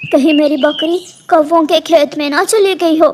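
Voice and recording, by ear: Someone uses a cartoonish character voice with a high pitch at a moderate pace.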